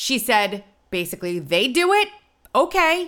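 Her voice is a fairly high-pitched woman's voice with a bright, sharp tone and vocal fry. The pitch makes very wide swings. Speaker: podcast co-host. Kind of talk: political commentary chat.

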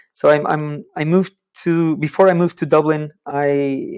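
A man with a Portuguese accent speaks in a fairly high pitch. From Portugal. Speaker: social prescribing worker, sports psychologist. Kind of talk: interview.

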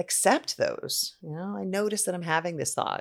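A woman speaks at a moderate pace in a fairly low pitch, an unremarkable speaking voice, on a very clean recording with a silent background. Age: 40s. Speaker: clinical psychologist. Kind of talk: interview.

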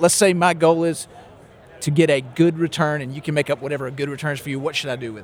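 With noticeable background noise, a man speaks very fast in a Southern US accent, his fairly high pitch showing ordinary variation. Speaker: podcast host. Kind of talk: casual interview chat. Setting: recorded on site at a conference.

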